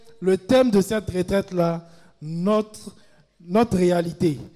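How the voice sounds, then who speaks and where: Delivered at a fairly slow pace, a man's speech shows ordinary pitch variation. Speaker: retreat prayer leader. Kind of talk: fervent group prayer. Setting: live retreat with large crowd. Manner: commanding, rousing call-and-response.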